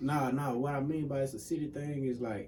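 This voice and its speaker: A man's voice with audible room echo and noticeable background noise. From US South. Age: 20s. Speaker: music producer and engineer. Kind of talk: casual interview. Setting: studio.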